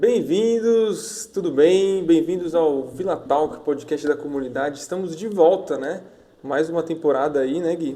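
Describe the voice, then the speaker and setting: A man talks at a fairly slow pace in an ordinary speaking voice, with fairly high pitch and ordinary pitch variation. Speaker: podcast host. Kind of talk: casual podcast talk.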